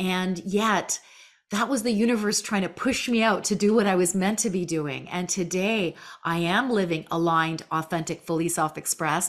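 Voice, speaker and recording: Here is a woman with an ordinary speaking voice. Her pitch is medium with ordinary variation, and her pace is moderate. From Canada. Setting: remote recording.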